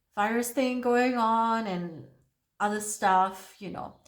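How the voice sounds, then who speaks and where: Audible room echo fills the space. A woman talks within it with lively intonation. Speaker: beauty vlogger. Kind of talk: makeup tutorial with casual chat. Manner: halting.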